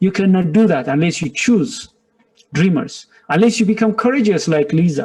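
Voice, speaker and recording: Someone with a non-native accent speaks in an animated tone with lively intonation. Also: man. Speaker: business director and motivational speaker. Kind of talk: motivational webinar talk. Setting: webinar.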